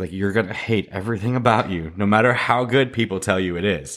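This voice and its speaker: The recording is very clean, with a silent background. A man talks at a fairly quick pace. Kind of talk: casual chat. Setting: home recording with microphone. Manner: quiet voice.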